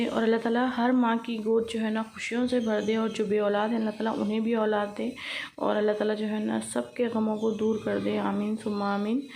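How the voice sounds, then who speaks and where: Speaking at a moderate pace, a woman with a fairly high voice is heard in a room with audible echo. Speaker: home vlogger. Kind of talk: vlog voice-over.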